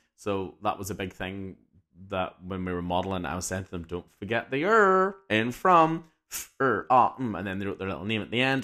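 A man talks at a fairly quick pace with an English accent. His voice is fairly low, with a bright, sharp tone. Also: very clean recording, silent background. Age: 30s. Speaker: teacher and podcast host. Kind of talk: casual monologue.

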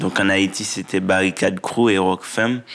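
A man talks in a monotone with flat intonation. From Haiti (rural south-east, then Port-au-Prince). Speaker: poet and writer. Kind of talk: interview. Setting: recorded in a theatre. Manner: halting.

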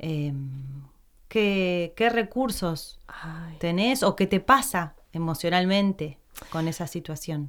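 Speaking very slowly at a fairly low pitch, a woman uses lively intonation in a very clean recording with a silent background. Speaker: podcast host, actress. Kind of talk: casual interview chat.

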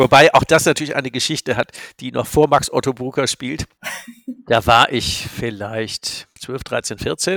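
An unremarkable speaking voice moves at a fairly slow pace with ordinary pitch variation. The sound is dry and close, with no echo. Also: man, medium pitch for a man. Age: 60s. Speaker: business coach. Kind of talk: casual chat.

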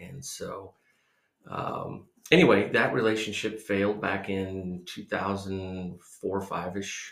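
A man with an American accent speaks at a very slow pace. His pitch is fairly low, his intonation fairly even. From US Midwest (Iowa, Missouri). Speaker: podcast host's husband. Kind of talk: casual chat.

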